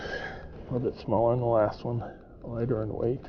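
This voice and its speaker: Heard through noticeable background noise, a man speaks at a moderate pace. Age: old. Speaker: fishing vlogger. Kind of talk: casual solo fishing commentary. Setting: outdoors on a lake.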